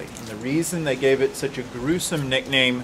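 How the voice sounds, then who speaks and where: A man speaks at a medium pitch with fairly even intonation. Background noise is noticeable. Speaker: ghost tour guide. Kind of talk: interview answer.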